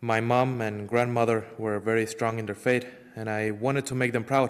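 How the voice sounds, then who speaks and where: Speaking in an Ecuadorian accent, a man keeps a monotone, flat intonation. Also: medium pitch for a man, moderate pace. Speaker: parishioner giving faith testimony. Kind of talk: testimony.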